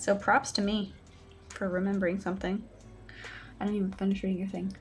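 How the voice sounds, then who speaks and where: Somewhat breathy and mumbling, a woman talks at a medium pitch. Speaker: live streamer painting miniatures. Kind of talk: casual live stream chat. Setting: home desk live stream.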